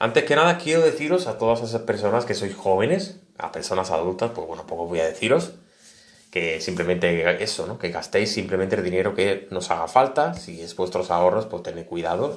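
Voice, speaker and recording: A man's fairly low voice at a fairly quick pace, with lively intonation and big swings in loudness. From Spain. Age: 30s. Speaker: tech YouTuber. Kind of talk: casual vlog monologue. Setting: home studio. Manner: animated. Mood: earnest, reflective. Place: home room.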